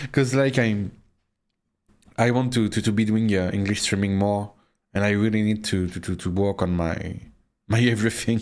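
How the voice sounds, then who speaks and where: In a very clean recording with a silent background, a man with a French accent talks at a moderate pace and fairly low pitch, leaving long, frequent pauses. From France. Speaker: vtuber streamer. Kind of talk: casual live stream chat. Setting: live stream at home PC. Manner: halting, many stammered repeats; animated.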